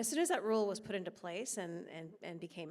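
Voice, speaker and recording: The speaker has an American accent and vocal fry. Pitch variation is ordinary. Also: woman. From United States. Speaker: policy expert. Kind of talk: panel discussion.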